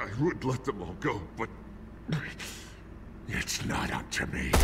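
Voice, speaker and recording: Through loud background noise, a man puts on a character voice with a fairly low pitch at a fairly slow pace. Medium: video game. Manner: menacing, unstable.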